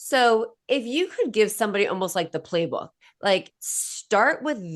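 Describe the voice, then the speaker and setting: A woman with a Boston accent talks at a fairly slow pace in a fairly high pitch, her tone animated and her intonation lively. The background is quiet. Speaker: podcast host. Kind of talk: interview podcast.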